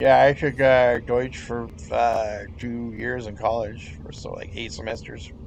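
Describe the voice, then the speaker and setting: A man with an American accent speaks at a fairly slow pace with hardly any pauses, his pitch medium and its variation ordinary. His is an unremarkable speaking voice, with big swings in loudness. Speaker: gamer. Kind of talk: casual chat.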